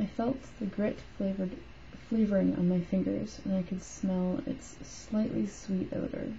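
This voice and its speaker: A woman mumbles at a fairly slow pace. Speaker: weight loss surgery patient vlogger. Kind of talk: reading own written note aloud. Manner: mumbled.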